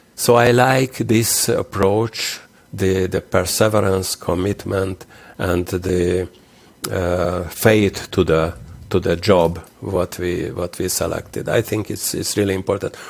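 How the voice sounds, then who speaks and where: A man talks at a very slow pace in a very deep, low voice. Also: fairly even intonation. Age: 60s. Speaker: interventional cardiologist. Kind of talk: interview. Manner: halting.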